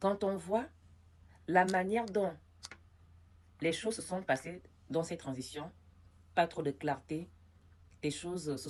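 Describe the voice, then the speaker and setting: Very slow speech from a woman with a fairly low pitch and lively intonation. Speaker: political commentator. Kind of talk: political commentary vlog. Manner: hesitant, many fillers.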